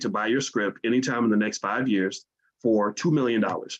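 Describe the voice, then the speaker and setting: A man speaking at a fairly quick pace with an American accent. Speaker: finance educator. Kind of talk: livestream lecture. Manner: fast when excited; halting repetitions.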